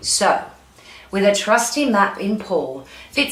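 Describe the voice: This is plain reading aloud. The voice reads the text out.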